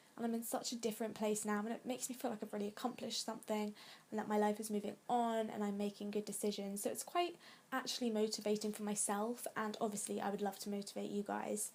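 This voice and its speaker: A woman with an English accent, fairly high-pitched and very fast, her intonation fairly even. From England. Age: 20s. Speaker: vlogger. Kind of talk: casual chat.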